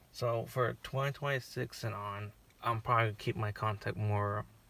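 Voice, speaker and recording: Somewhat breathy and fairly low-pitched, a man speaks at a moderate pace with fairly even intonation. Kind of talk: casual personal channel update. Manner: stuttering, halting.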